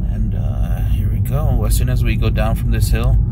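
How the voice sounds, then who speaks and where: A man's voice comes through dry with no echo over loud background noise. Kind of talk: casual vlog chat. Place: car. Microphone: phone near.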